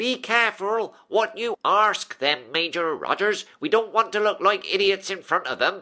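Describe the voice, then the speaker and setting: A man uses a put-on character voice pitched high. He keeps a moderate pace with hardly any pauses. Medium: audio drama. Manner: pompous.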